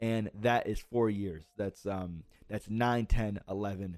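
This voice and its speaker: Dark and mellow in tone, a man talks with an American accent. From central Connecticut. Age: 20s. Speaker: podcaster. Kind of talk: personal storytelling monologue. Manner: halting.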